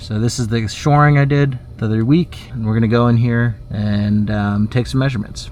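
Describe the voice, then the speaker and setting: A man speaks at a medium pitch and a moderate pace, with fairly even intonation. There is noticeable background noise. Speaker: home renovation vlogger. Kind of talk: DIY vlog narration. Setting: crawl space under house. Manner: whispering.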